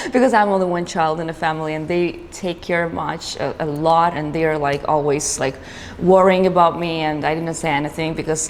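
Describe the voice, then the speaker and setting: A woman talks at a moderate pace in a fairly low pitch with ordinary pitch variation. Noticeable background noise is present. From Georgia (country). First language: Georgian. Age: 20s. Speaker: business owner. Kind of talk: interview. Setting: studio. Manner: halting, with many fillers.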